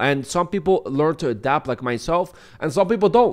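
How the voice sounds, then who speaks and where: A man's fairly high voice at a fairly quick pace, lively intonation, quiet background. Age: 20s. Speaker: YouTube commentator. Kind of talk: commentary video. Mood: critical, mocking. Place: home room. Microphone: studio mic.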